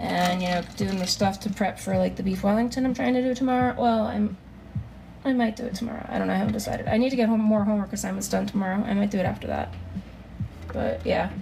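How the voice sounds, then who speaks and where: A woman talks very fast as background noise is noticeable. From Germany. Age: 30s. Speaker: live streamer. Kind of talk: casual chat. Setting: live stream.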